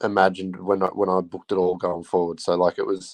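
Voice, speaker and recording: A man talks with an Australian accent in a dry, close sound with no echo. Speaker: football fan. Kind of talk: casual chat.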